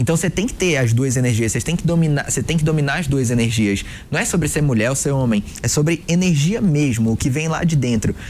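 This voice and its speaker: Fairly high-pitched man at a fairly quick pace, lively in intonation, with hardly any pauses and very even loudness, over noticeable background noise. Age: 20s. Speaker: sales positioning mentor. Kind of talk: interview conversation.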